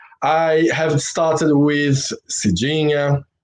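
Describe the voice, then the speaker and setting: The speaker talks at a very slow pace with a Brazilian accent. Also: man. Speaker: former dancer and live stream host. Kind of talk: casual live stream interview. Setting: live stream.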